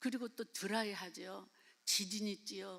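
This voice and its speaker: Vocal fry from a woman speaking at a moderate pace. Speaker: missionary. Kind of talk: sermon. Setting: church. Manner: halting.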